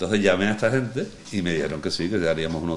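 A man's very deep, low voice at a very fast pace, with ordinary pitch variation and audible room echo. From Andalusia, El Puerto de Santa María (Cádiz). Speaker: veteran sailor. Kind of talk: casual interview chat. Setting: on location at a foundation in a marina.

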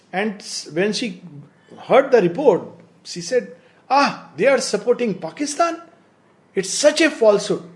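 A man with a high voice talks at a fairly slow pace, with long, frequent pauses and very wide pitch swings. Noticeable background noise can be heard. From India. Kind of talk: discussion.

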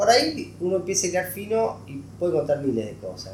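With ordinary pitch variation, a man's speech carries audible room echo. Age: 40s. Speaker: economic journalist. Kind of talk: interview.

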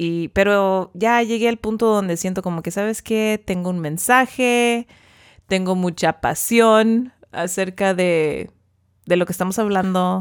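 Speaking with an unremarkable speaking voice at a fairly slow pace, the speaker shows ordinary pitch variation in a very clean recording with a silent background. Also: woman, medium pitch for a woman. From US, central California (Tulare County). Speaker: podcast host, parent. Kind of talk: casual chat.

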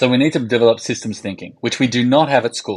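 Over a quiet background, a man with an Australian accent speaks very fast at a medium pitch. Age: 50s. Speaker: podcast co-host. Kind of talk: casual chat.

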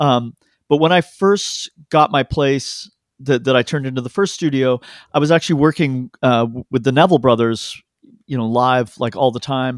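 At a moderate pace and medium pitch, a man speaks in a plain, everyday voice with ordinary pitch variation, recorded very cleanly over a silent background with dry, close sound and no echo. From Canada (Toronto), born in London. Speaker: record producer and sound engineer. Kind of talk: casual chat.

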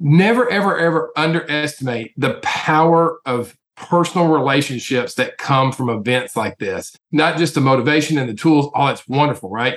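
Speaking with a Tennessee accent, a man keeps a moderate pace and a fairly high pitch, with ordinary pitch variation and hardly any pauses. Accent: Southern US, Tennessee. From Nashville, Tennessee. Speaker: mortgage company executive. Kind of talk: casual promotional chat.

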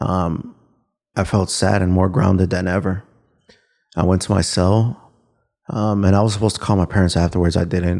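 Very deep, low man's voice with a dark, mellow tone, monotone, flat intonation and a moderate pace, on a very clean recording with a silent background. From Chicago, Little Village (Mexican-American west side). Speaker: former prisoner, justice reform advocate. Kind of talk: personal testimony interview. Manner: halting with frequent ums.

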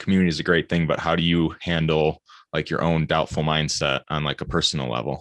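A man with an American accent and a very deep, low pitch talks at a very fast pace with vocal fry and fairly even intonation, recorded dry and close with no echo. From Michigan. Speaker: podcast host. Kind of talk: casual interview chat.

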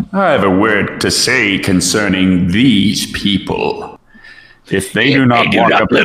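Fairly low in pitch, a man does a put-on character voice at a fairly slow pace. A slight echo hangs on the sound. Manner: menacing.

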